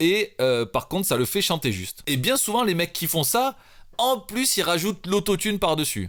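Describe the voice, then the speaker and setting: Very wide pitch swings run through this moderately paced speech, in a very clean recording with a silent background. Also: man, high pitch for a man. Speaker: rapper and music producer. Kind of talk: tutorial. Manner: casual, hesitant with fillers.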